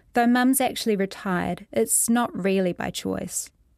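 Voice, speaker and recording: This woman speaks with a New Zealand accent. The recording is very clean, with a silent background. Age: 30s. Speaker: writer. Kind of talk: reading aloud.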